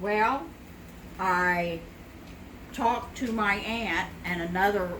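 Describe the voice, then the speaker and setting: Speaking very slowly with ordinary pitch variation, a woman is heard amid audible room echo and noticeable background noise. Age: 60s. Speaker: home cook sharing family memories. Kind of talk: casual interview while cooking. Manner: hesitant, many fillers.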